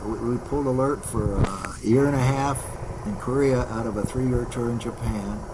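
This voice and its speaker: Amid noticeable background noise and audible room echo, a man talks at a medium pitch with fairly even intonation. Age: 80s+. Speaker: retired fighter pilot. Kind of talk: interview reminiscence.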